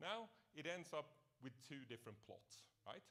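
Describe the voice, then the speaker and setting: A man speaks loudly at a moderate pace in a bright, sharp tone, his pitch swinging very widely. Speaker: professor. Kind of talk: lecture.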